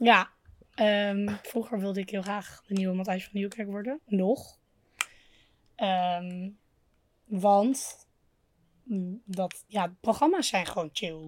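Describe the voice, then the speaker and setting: At a very slow pace, a woman with a medium pitch speaks with long, frequent pauses. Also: ordinary pitch variation. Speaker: podcast co-host. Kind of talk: casual chat. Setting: outdoors.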